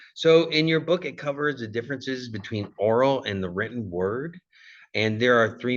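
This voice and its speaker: A man with a Californian accent at a medium pitch and moderate pace, lively in intonation, against a quiet background. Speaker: college communication instructor, former Marine. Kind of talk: recorded lecture. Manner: casual, with frequent fillers.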